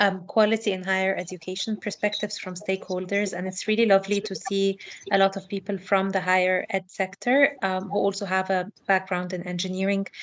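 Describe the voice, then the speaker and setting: In a non-native accent, a woman at a medium pitch speaks with monotone, flat intonation. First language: not English. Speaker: educational researcher. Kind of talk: online talk.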